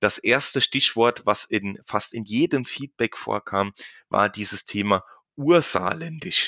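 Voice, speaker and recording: Against a quiet background, a man with a medium pitch and a bright, sharp tone speaks with ordinary pitch variation, the sound dry and close with no echo. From Saarland, Germany. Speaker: insurance agent and podcast host. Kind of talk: casual chat. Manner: unscripted, with many fillers and repetitions.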